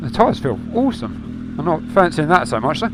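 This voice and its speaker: Over noticeable background noise, a man speaks in a high-pitched voice. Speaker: motovlogger. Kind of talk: motorcycle ride-along commentary. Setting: outdoors on a motorbike. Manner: casual, conversational.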